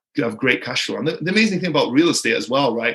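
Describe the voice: Fairly high and fairly bright, this man's voice has a slightly husky edge and lively intonation.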